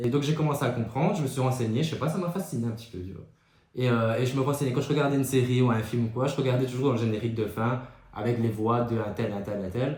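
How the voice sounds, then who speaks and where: A medium-pitched man with a Belgian accent at a very fast pace, ordinary pitch variation and audible room echo. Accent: Belgian French, strength unsure. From Belgium. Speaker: podcast co-host. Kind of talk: casual chat.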